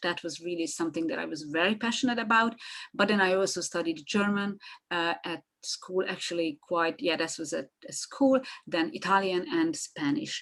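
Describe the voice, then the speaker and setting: With a Hungarian accent, a woman speaks at a moderate pace, her fairly low voice full of lively intonation. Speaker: marketing consultant. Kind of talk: podcast interview. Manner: halting.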